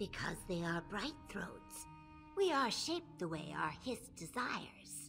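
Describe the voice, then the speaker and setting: A woman speaks in a put-on character voice. Music plays clearly in the background. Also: fairly slow pace. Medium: video game. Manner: chatty, eager.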